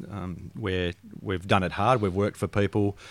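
A fairly low-pitched man with an Australian accent at a moderate pace, on a very clean recording with a silent background. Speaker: financial advisor. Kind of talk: casual interview. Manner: jovial.

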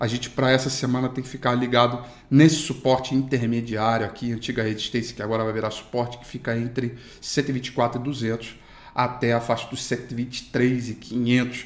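Monotone and flat, a man at medium pitch talks at a moderate pace while his loudness swings widely. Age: 30s. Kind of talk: daily market news broadcast. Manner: casual, filler-heavy.

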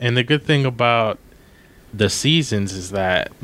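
A man's normal speaking voice, with an American accent, at a fairly slow pace. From Maryland, US. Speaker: podcast co-host, post-production worker. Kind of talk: casual chat.

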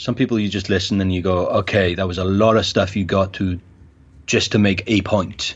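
Speaking in a South Wales accent, a man uses a fairly low pitch, a fairly quick pace and a monotone, flat intonation. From Wales, Cardiff. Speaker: event organizer. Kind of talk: casual interview.

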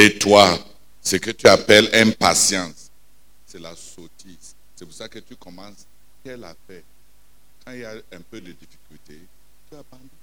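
Fairly slow, animated delivery from a man with a fairly low pitch, a bright, sharp tone, big swings in loudness and long, frequent pauses. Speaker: preacher. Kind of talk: sermon. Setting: prayer night, church. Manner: animated, emphatic, preaching with repetition and call-and-response.

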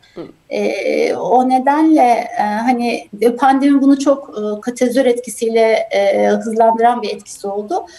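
A woman talks at a fairly slow pace in a high pitch, with big swings in loudness. Noticeable background noise sits behind her. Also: ordinary pitch variation. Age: 40s. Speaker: healthcare executive. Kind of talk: interview.

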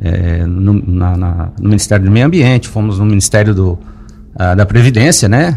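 This man talks with a fairly low pitch at a moderate pace, and noticeable background noise is present. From Lauro Müller, Santa Catarina, southern Brazil. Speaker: businessman and local party president. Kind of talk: radio interview. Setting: radio studio. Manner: hesitant, many fillers and repetitions.

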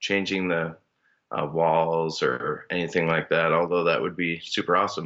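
A man with an Upper Midwest accent talks at a moderate pace. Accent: Upper Midwest American. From Minnesota. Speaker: elementary school teacher. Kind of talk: casual chat.

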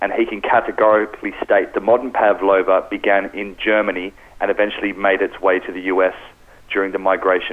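With an Australian accent, a man talks over noticeable background noise. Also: fairly quick pace. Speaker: pastry and bakery specialist. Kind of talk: radio interview.

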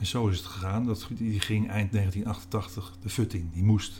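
Somewhat breathy, fairly slow speech from a man with a fairly low pitch, a dark, mellow tone and fairly even intonation. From Netherlands, North Holland (Alkmaar/Heiloo). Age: 60s. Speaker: newspaper columnist. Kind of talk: interview. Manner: halting.

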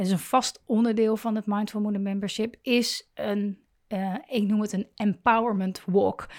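This woman has a medium-pitched voice and speaks fairly slowly in a monotone, flat delivery. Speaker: podcast host and coach for mothers. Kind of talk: monologue addressing listeners. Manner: hesitant, many fillers.

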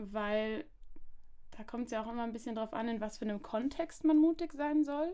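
In a normal speaking voice, a woman with a fairly high pitch and ordinary pitch variation talks at a moderate pace on a very clean recording with a silent background. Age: 20s. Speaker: social pedagogue and master's student. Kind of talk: casual chat.

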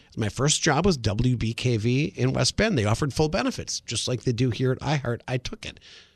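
In a normal speaking voice with an American accent, a man talks at a fairly quick pace with ordinary pitch variation and hardly any pauses, in a dry, close sound with no echo. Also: medium pitch for a man. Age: 50s. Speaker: radio host. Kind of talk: casual chat. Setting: studio.

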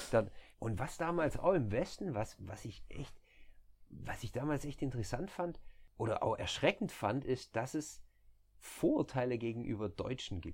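A man talks at a medium pitch and moderate pace, somewhat breathy, with lively intonation. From southern Germany, near Stuttgart. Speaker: nurse turned recruiter. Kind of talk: casual chat. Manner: relaxed.

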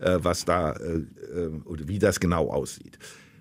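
Using vocal fry, a man speaks at a very deep, low pitch. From Germany, Cologne. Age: 70s. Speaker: political science professor. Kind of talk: interview.

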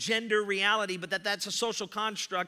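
A man's high-pitched, raised and projected voice, animated, with a bright, sharp tone. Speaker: pastor. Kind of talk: sermon. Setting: church. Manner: loud.

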